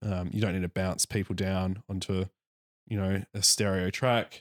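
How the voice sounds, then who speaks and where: A man speaks in a very deep, low voice at a fairly slow pace, in a monotone with flat intonation. The recording is very clean with a silent background and a dry, close sound with no echo. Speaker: podcast co-host. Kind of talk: casual chat. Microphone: new studio microphone.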